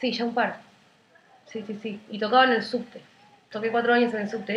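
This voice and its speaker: A woman speaks with a Rioplatense accent in a monotone, flat intonation. Noticeable background noise is present. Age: 20s. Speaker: singer-songwriter. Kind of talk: casual interview.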